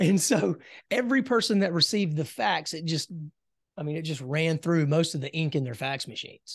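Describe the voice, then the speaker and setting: A man speaks in a plain, everyday voice with an American accent, at a fairly quick pace and fairly high pitch. His intonation is lively, and the background is quiet. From US South, South Carolina. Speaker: business coach and entrepreneur. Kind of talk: interview conversation.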